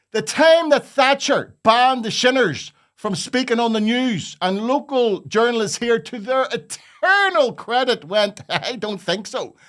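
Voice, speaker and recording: In a very clean recording over a silent background, a man with a Belfast accent speaks at a fairly slow pace with hardly any pauses, an extremely high pitch, and lively intonation. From North Belfast, Northern Ireland. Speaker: comedian. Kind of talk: casual talk to camera.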